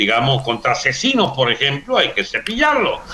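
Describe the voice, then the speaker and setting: A man speaks at a moderate pace with lively intonation. Noticeable background noise runs beneath his voice. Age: 70s. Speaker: politician. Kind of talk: interview.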